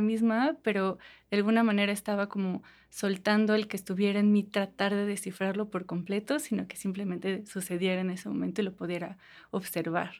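A woman with a normal speaking voice talks at a medium pitch and moderate pace with fairly even intonation. The recording is very clean, with a silent background. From Mexico, Toluca. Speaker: visual artist. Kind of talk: interview.

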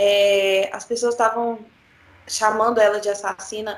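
In an unremarkable speaking voice, a woman with a fairly high pitch talks at a moderate pace. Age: 20s. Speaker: podcast co-host, law graduate. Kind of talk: casual discussion of a serious news topic.

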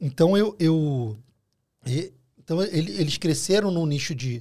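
A man with a Rio de Janeiro accent speaks in a high voice with lively intonation, recorded very cleanly against a silent background. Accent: Carioca Brazilian Portuguese. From Rio de Janeiro, Brazil. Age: 40s. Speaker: food delivery entrepreneur. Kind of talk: casual chat. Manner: halting.

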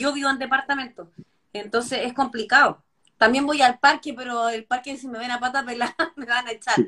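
With a raised, projected voice, a woman speaks at a moderate pace in a high pitch, her tone bright and sharp and her intonation monotone and flat. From Chile. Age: 40s. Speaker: healthy eating advocate and live show host. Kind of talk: casual chat.

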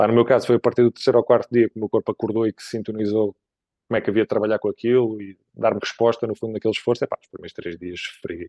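A man speaks at a very fast pace and a medium pitch, his intonation monotone and flat while his loudness swings widely. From Portugal, Évora (Alentejo). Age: 40s. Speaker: ultra-endurance cyclist. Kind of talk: casual interview.

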